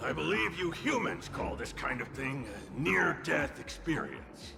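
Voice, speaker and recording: A man performs a put-on character voice at a moderate pace over clear background noise. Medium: game stream. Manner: sarcastic, theatrical.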